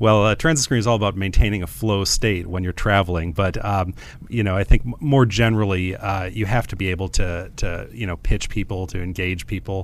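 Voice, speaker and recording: A man with an American accent talks at a fairly quick pace with hardly any pauses, in a fairly low pitch with ordinary pitch variation. His is a plain, everyday voice. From US Midwest (Madison, Wisconsin and Chicago). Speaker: tech company CEO. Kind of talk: radio interview.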